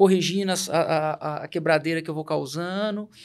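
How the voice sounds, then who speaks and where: Fairly even intonation at a moderate pace. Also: man. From Minas Gerais, Brazil. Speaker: company CEO. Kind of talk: interview conversation.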